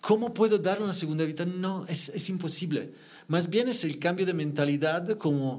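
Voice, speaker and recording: Speaking at a moderate pace with an Italian accent, a man with a high pitch is heard in audible room echo. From Italy. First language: Italian (speaking Spanish). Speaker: interior designer. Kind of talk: podcast interview. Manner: halting.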